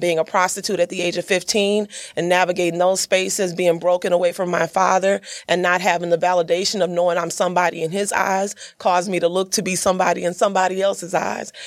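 Fairly low in pitch, a woman speaks very fast in a monotone, flat intonation. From Mississippi, Yazoo City. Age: 40s. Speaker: professional speaker and entrepreneur. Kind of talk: podcast interview.

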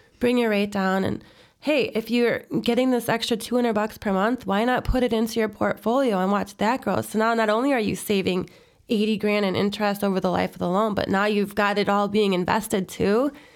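A woman with a normal speaking voice and an American accent, fairly high in pitch, at a fairly quick pace, with fairly even intonation and very even loudness, on a very clean recording with a silent background. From Chicago, northwest side. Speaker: real estate broker. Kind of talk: interview.

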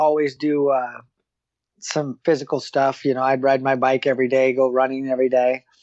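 A man with an unremarkable speaking voice at a medium pitch and a moderate pace. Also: very even loudness. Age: 40s. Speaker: jockey. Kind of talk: casual chat.

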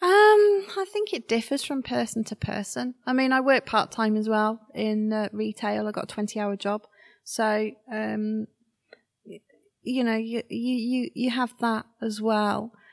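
In a West Midlands accent, a woman with a fairly high pitch speaks at a fairly slow pace with fairly even intonation, and the sound is dry and close with no echo. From Shropshire, England. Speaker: artist. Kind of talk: interview.

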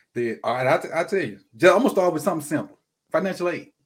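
A man with a Mississippi accent talks at a very fast pace in a high pitch. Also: very clean recording, silent background. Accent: US Southern (Mississippi). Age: 40s. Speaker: football coach and teacher. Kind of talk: casual chat.

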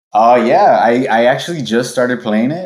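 A man with an American accent, fairly low in pitch, at a moderate pace, in a very clean recording against a silent background. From Los Angeles, US. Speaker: video game quality lead. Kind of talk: casual interview.

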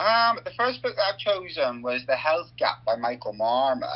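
Speaking at a moderate pace, a man talks with a Northern Irish accent. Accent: Northern Irish, noticeable. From Northern Ireland. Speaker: hospital doctor. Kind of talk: radio interview.

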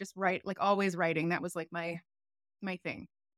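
The recording of this woman is very clean, with a silent background and a dry, close sound with no echo. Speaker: sex and relationship educator. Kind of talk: casual interview.

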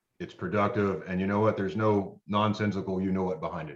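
This man has a plain, everyday voice. His pace is fairly quick. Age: 40s. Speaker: podcast co-host, military veteran. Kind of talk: interview.

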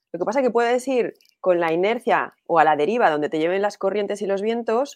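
Delivery is animated in tone. Pitch moves with lively intonation. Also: woman. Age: 40s. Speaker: entrepreneur and business strategist. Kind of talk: interview.

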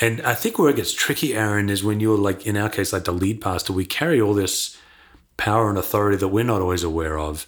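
Speaking at a very fast pace with an American accent, a man uses a fairly low pitch and ordinary pitch variation. The recording is very clean, with a silent background. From Perth, Western Australia. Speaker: pastor and author. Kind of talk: casual interview conversation. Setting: in person at a conference.

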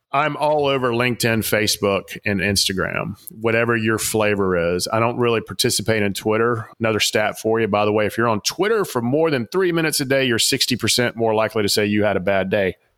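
A man with a Southern US accent talks at a very fast pace and medium pitch in an enthusiastic, animated tone, with ordinary pitch variation and very even loudness on a very clean recording with a silent background. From Atlanta, Georgia. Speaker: author and executive coach.

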